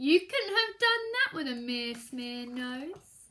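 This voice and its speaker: Putting on a character voice, a woman speaks fairly slowly in a high pitch that swings very widely. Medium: read story.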